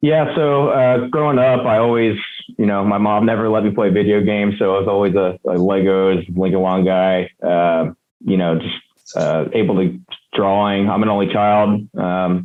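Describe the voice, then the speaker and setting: An unremarkable speaking voice with an American accent, very even loudness, ordinary pitch variation and a moderate pace. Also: man, fairly low pitch for a man. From US Northeast, near Philadelphia. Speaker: construction company co-founder. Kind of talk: interview conversation.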